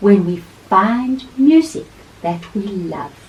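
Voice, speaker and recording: A woman puts on a character voice at a medium pitch, talking at a very slow pace. Her pitch swings very widely. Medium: read story.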